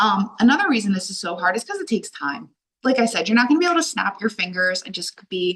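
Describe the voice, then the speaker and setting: A loud woman with a fairly high pitch speaks very fast in an animated tone, her pitch swinging very widely. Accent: American. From Delaware, US. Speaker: life coach. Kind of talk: online workshop talk. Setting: video call.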